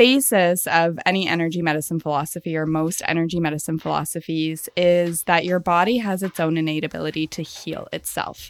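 In a very clean recording with a silent background, a woman with a normal speaking voice talks at a fairly low pitch and a fairly quick pace, with ordinary pitch variation and hardly any pauses. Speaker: animal communicator and podcaster. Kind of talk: casual interview chat.

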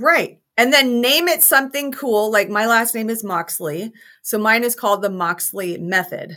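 Speaking in an American accent, a woman uses a normal speaking voice, fairly high-pitched, with lively intonation at a moderate pace. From Utah, US. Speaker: business coach and speaker. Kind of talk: interview.

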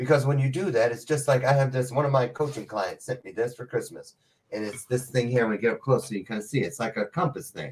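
A man talks at a very fast pace with ordinary pitch variation and a somewhat breathy sound. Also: medium pitch for a man. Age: 50s. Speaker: motivational speaker. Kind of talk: casual chat. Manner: animated.

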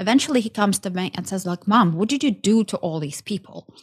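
A woman talks at a very fast pace, her voice medium in pitch and somewhat breathy. The sound is dry and close, with no echo. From Ukraine. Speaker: business entrepreneur. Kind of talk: interview conversation. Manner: halting.

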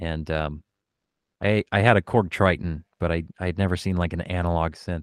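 A man's very deep, low voice in an American accent at a moderate pace, dry and close with no echo, on a very clean recording with a silent background. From US Pacific Northwest, Oregon. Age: 30s. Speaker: keyboardist and music producer. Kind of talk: casual interview chat.

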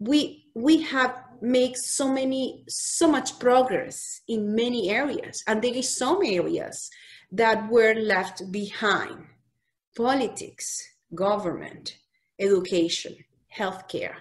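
A woman with a Spanish accent, high-pitched, lively in intonation, at a very slow pace. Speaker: physician. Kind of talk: casual chat.

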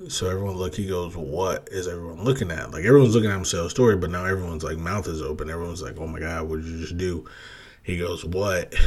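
A very fast pace in an American accent. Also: man. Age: 30s. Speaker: podcast host. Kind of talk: casual solo podcast monologue. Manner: monotone when not excited; filler-heavy, halting.

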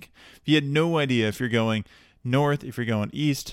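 A man talks with a normal speaking voice at a moderate pace and ordinary pitch variation. The recording is very clean, with a silent background. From Texas, Dallas area. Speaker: podcast host. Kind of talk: solo podcast monologue. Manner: casual with many fillers.

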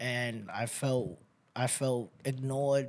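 In a very clean recording with a silent background, a man with a New York accent speaks at a fairly high pitch. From New York City. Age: 30s. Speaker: rescue mission resident. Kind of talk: testimony.

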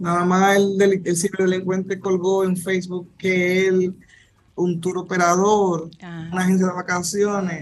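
Pitched high, a man talks at a fairly slow pace in a flat monotone. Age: 30s. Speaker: prosecutor. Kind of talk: radio interview. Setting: video call.

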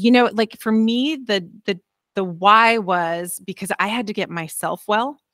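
In a very clean recording with a silent background and a dry, close sound with no echo, a woman uses an ordinary speaking voice at a fairly slow pace with ordinary pitch variation. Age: 50s. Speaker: fitness coach. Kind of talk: casual interview.

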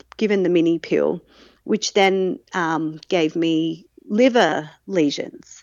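In an Australian accent, a woman speaks at a fairly low pitch. Her pitch varies in an ordinary way. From South Australia, Adelaide. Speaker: mother sharing birth story. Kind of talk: interview.

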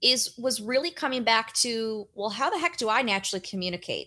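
In a very clean recording with a silent background, a woman with a high pitch and a bright, sharp tone speaks at a moderate pace. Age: 30s. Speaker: brand strategist and author. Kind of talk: interview.

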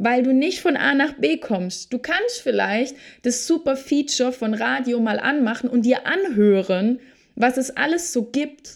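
A woman with a high pitch speaks at a fairly slow pace. Her tone is animated, with lively intonation. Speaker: podcast host and Human Design coach. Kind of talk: solo motivational monologue.

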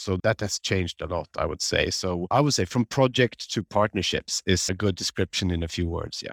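A man with a Swedish accent, very deep and low in pitch, fairly quick with hardly any pauses and ordinary pitch variation, on a very clean recording with a silent background and a dry, close sound with no echo. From Sweden, Stockholm area. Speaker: development agency official. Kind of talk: interview conversation.

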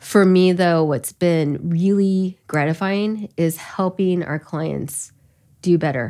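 With an American accent, a woman speaks at a very slow pace in a dark, mellow tone and a fairly low pitch. Her pitch varies in an ordinary way, and the recording is very clean with a silent background. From US Midwest, Elkhart County, Indiana. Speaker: business founder. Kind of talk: interview conversation.

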